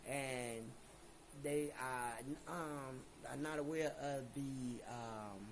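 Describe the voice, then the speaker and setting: A man with an American accent and a fairly high pitch speaks amid noticeable background noise and audible room echo. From Chicago. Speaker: YouTuber, channel owner. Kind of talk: casual vlog talk to camera.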